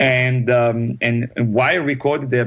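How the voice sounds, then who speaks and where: The speaker, in a French accent, talks at a fairly slow pace with fairly even intonation. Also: man. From France, Paris. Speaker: singer and opera performer. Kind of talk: interview. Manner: halting, many fillers and repeats.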